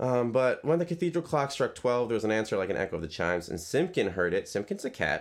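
A man speaks at a very fast pace with hardly any pauses, his medium-pitched voice swinging very widely and showing vocal fry. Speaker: podcast co-host. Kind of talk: casual banter, comedic podcast discussion of a children's book.

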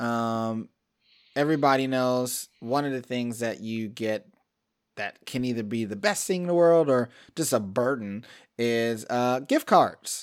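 A man with an American accent talks at a moderate pace on a very clean recording with a silent background. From US Midwest (Cleveland, Ohio). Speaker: podcast host. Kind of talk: casual chat.

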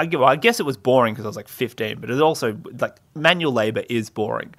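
Talking at a very fast pace, a man with an Australian accent uses a medium pitch and ordinary pitch variation. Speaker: podcast host. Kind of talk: casual solo monologue. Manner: rambling with many fillers; playful, puts on funny voices.

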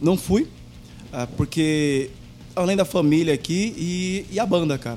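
With long, frequent pauses, a man speaks at a fairly high pitch. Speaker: rock band singer and chef. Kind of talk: casual chat. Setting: video call.

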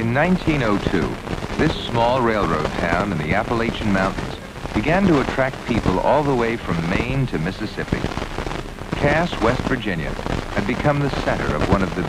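Over noticeable background noise, a man speaks at a moderate pace, his medium pitch moving in very wide swings. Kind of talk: 1970s documentary narration, scripted. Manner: formal, measured, steady; authoritative, earnest, gently nostalgic.

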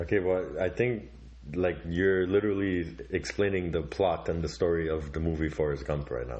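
Audible room echo surrounds a man whose very deep, low pitch shows ordinary variation as he speaks at a moderate pace. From Canada. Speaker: podcast host. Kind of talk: casual comedic chat.

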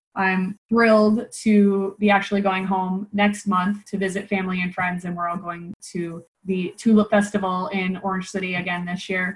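A woman's somewhat breathy voice at a medium pitch, with an American accent, fairly even intonation and a moderate pace. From Nebraska, US Midwest. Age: 30s. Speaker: marketing consultant. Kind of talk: interview.

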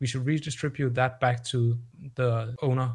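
In a Danish accent, a man speaks at a moderate pace in a somewhat breathy, medium-pitched voice. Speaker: guest, blockchain community member. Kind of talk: interview, explanatory conversation. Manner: hesitant, filler words.

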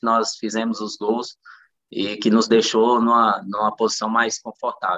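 Delivering his words fairly slowly in a flat monotone, a man speaks at a medium pitch with a bright, sharp tone. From Central-West Brazil, Luziânia, Goiás. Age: 30s. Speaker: professional footballer. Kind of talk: interview.

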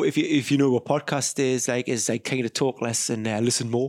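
This man has an ordinary speaking voice at a medium pitch, moving at a fairly quick pace with hardly any pauses. The sound is dry and close with no echo. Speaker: podcast host. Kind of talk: casual interview chat.

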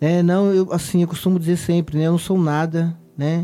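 The voice has a dark, mellow tone and monotone, flat intonation at a moderate pace. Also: man. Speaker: lay preacher. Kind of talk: sermon; prayer. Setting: online radio broadcast.

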